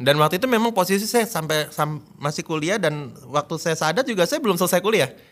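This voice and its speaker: A high-pitched man at a very fast pace, with lively intonation. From Jakarta, Indonesia. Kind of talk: testimony. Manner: halting.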